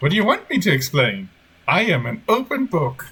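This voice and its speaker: Using a put-on character voice, a man speaks at a high pitch with very wide pitch swings. His pace is moderate. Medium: actual play. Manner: eerie, evasive, unblinking calm.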